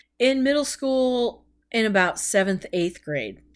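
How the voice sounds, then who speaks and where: A woman with a normal speaking voice speaks in an American accent at a moderate pace with lively intonation. The recording is very clean, with a silent background. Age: 30s. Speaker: podcast host. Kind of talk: personal monologue. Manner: casual, rambling with fillers.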